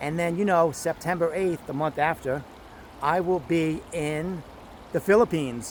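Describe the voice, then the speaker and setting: Loud and at a high pitch, a man with an American accent speaks at a moderate pace with fairly even intonation. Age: old. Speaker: vlogger. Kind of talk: casual vlog talk to camera.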